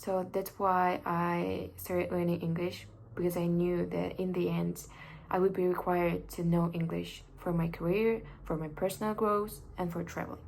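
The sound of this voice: A woman's fairly low pitch and vocal fry at a fairly slow pace, with audible room echo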